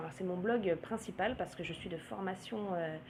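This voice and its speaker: A woman is speaking. Her pace is moderate. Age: 30s. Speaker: blogger and naturopath. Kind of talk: vlog monologue. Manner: hesitant, many filler sounds.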